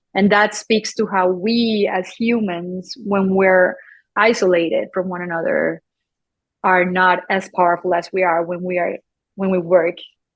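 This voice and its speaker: Monotone, flat intonation at a fairly slow pace, in a Colombian accent. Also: woman, medium pitch for a woman. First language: Spanish. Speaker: photographer and embroiderer. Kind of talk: podcast interview. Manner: halting, with frequent repetitions.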